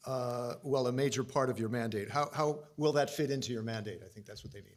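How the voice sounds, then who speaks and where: Having a normal speaking voice with an American accent, a man talks at a fairly quick pace with fairly even intonation and big swings in loudness. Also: medium pitch for a man. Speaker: interviewer. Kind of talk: interview.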